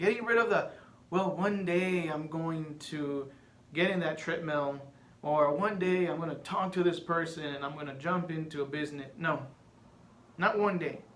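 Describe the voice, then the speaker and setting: Amid audible room echo, a man in a Spanish accent speaks at a moderate pace in a high pitch with ordinary pitch variation. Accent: noticeable Spanish. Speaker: podcaster. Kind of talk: casual monologue.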